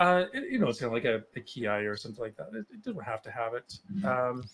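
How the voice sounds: Talking at a fast pace, a man uses big pitch swings and a fairly bright tone. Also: medium pitch for a man.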